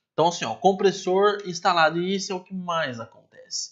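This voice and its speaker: This man talks at a fairly quick pace with a high pitch. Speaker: teacher. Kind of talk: online lecture.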